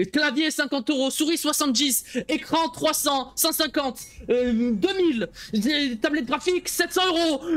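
A man speaks at an extremely high pitch and a fairly slow pace. His pitch moves in an ordinary way, and his loudness stays very even. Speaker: streamer. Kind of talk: live gameplay stream commentary. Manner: animated.

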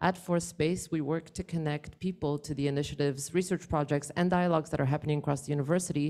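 Over a quiet background, a woman speaks very fast with hardly any pauses, her very deep, low voice dark and mellow and her intonation monotone and flat. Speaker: event host. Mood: warm, lightly amused. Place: hall. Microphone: handheld.

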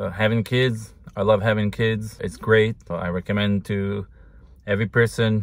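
A man speaks with an Israeli accent at a fairly low pitch and moderate pace, his intonation fairly even. The sound is dry, with no echo. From Israel, Jerusalem. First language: Hebrew. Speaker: husband of the host. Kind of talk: casual Q&A. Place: car. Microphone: phone near.

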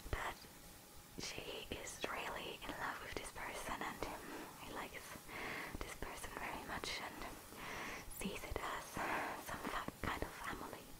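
Whispering, a woman speaks with long, frequent pauses. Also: fairly slow pace. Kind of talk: casual vlog chat.

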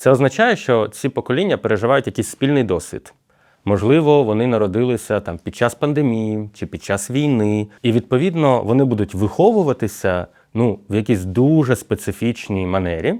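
An unremarkable speaking voice moves at a moderate pace with lively intonation against a quiet background. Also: man, medium pitch for a man. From Ukraine. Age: 30s. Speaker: university rector and sociologist. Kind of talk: podcast conversation.

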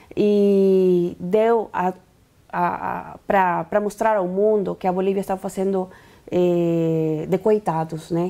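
A woman's very slow, dark, mellow speech in a Spanish accent, monotone with flat intonation. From Bolivia. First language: Spanish (speaking Portuguese). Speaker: activist leader; interview guest. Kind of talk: interview; interview answer. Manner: halting. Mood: serious, concerned. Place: studio. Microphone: lapel.

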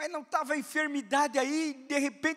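A man speaks in a raised, projected voice with a bright, sharp, animated tone. His pace is fairly slow, and the background is quiet. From Brazil. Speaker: preacher. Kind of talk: sermon to a live congregation, with teaching asides, dramatized dialogue and prayer. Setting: church. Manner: animated and emphatic, repeats commands in a rising pulpit cadence. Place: church. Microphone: handheld.

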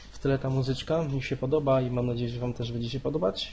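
A man's very fast, flat monotone at a medium pitch, in a Polish accent. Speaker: gaming youtuber. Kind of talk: casual gameplay commentary. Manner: halting, hesitant.

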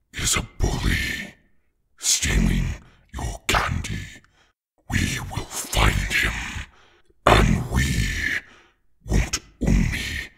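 A man puts on a character voice, very deep, low and raspy. He speaks at a very slow pace, with long, frequent pauses. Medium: role play.

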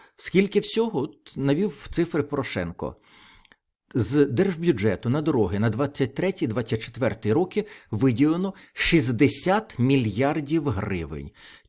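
In a very clean recording with a silent background, a man with a fairly high voice and vocal fry speaks at a very slow pace with very wide pitch swings. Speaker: political video blogger. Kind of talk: solo political commentary.

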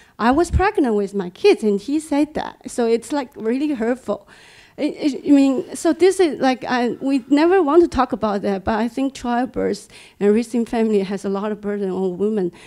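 Against a quiet background, a woman with a Chinese accent speaks at a moderate pace in a high voice with a dark, mellow tone and very wide pitch swings. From China. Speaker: engineer; panelist. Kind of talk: audience comment. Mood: earnest, personal. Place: meeting room. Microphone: handheld.

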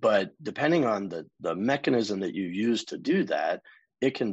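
A man speaks with an American accent against a quiet background. The sound is dry and close, without any echo. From US South, South Florida. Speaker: contact center executive. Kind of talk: interview.

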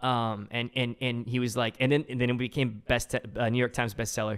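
The background stays quiet. A man delivers his words fairly quickly, his intonation fairly even. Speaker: film director; podcast guest. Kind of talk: casual chat. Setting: in-person podcast recording. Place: studio. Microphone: studio mic.

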